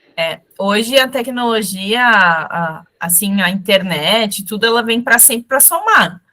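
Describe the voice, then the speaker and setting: A woman talks very slowly with hardly any pauses. Her fairly high voice shows ordinary pitch variation. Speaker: fashion brand instructor. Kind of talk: live online class. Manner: direct.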